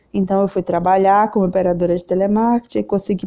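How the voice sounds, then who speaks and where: The speaker is a woman with a medium pitch. She delivers her words in a monotone, flat way. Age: 30s. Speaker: podcast host and video creator. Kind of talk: casual personal monologue.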